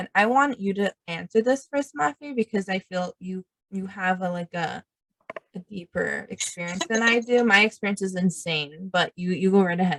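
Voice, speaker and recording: A woman's plain, everyday voice at medium pitch, moderate pace and ordinary pitch variation, in a dry, close sound with no echo. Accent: American. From New Jersey. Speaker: podcast co-host. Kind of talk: casual chat.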